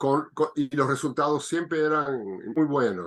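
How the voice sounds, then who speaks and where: Showing vocal fry, a man with a fairly high pitch speaks at a fairly slow pace with ordinary pitch variation. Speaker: biodanza facilitator. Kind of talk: interview answer.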